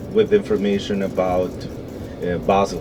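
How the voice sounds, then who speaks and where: Over noticeable background noise, a man with a Spanish accent speaks at a moderate pace with very wide pitch swings. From Venezuela. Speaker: tour guide. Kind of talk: guided tour. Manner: halting with fillers.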